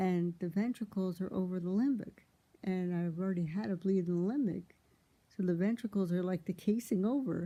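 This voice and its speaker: A woman talks at a fairly quick pace with a dark, mellow tone. Her voice is at medium pitch with ordinary pitch variation. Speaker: vlogger sharing brain injury recovery. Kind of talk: casual personal monologue. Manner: halting, with repeated words.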